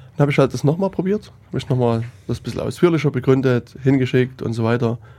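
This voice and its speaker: A man talks at a fairly quick pace. His voice sits at a medium pitch with a dark, mellow tone. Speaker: podcast host. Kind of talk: casual chat.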